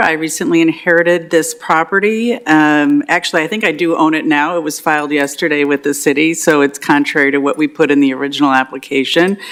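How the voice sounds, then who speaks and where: A woman talks at a fairly quick pace in a very deep, low pitch with ordinary pitch variation, over noticeable background noise. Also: hardly any pauses. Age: 60s. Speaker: property owner applying for variance. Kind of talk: public meeting testimony. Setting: council chambers meeting. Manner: hesitant, many fillers.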